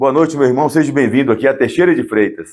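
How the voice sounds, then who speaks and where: The speaker is a man with a fairly high pitch. The recording is very clean, with a silent background. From Brazilian Northeast. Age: 50s. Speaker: podcast host. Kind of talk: interview.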